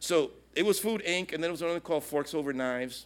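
The recording is very clean and the background silent. A man speaks at a very fast pace. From Brooklyn, New York, Puerto Rican family. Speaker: pastor. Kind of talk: speech.

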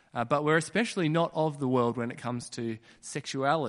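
A man with an Australian accent against a quiet background. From Western Australia (Kununurra). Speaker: preacher. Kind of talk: sermon.

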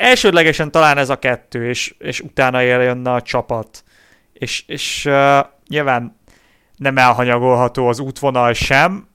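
A man speaks very slowly in a bright, sharp tone at a medium pitch, with fairly even intonation. The recording is very clean, with a silent background. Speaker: cycling podcast co-host. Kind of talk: casual chat.

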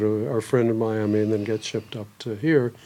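A man with a dark, mellow tone and a medium pitch talks at a fairly quick pace with fairly even intonation. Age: 70s. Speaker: town founder and developer. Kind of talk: interview.

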